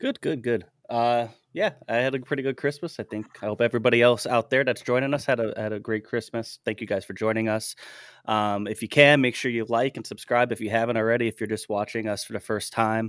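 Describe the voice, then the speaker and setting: Speaking in a plain, everyday voice at medium pitch, a man moves at a fairly quick pace with fairly even intonation, in a very clean, dry, close recording with a silent background and no echo. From US, central Pennsylvania. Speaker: podcast host. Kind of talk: interview.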